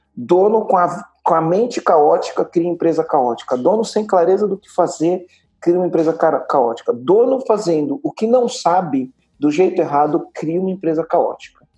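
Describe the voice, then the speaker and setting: A man's high-pitched voice at a moderate pace, dark and mellow in tone, with lively intonation and big swings in loudness. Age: 40s. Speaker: entrepreneur and business mentor. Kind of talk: podcast interview. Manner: emphatic, repetitive.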